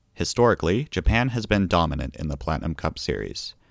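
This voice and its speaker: In a very clean recording with a silent background, a man with a very deep, low pitch and vocal fry talks at a moderate pace with very wide pitch swings. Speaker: podcast host covering competitive Splatoon. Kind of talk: scripted-style solo podcast roundup.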